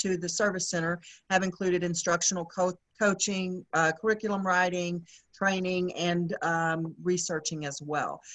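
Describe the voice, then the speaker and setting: A woman speaks with a Texan accent at a medium pitch. Her delivery is fairly slow, with monotone, flat intonation. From Texas. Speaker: instructional specialist, former teacher. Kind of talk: webinar presentation.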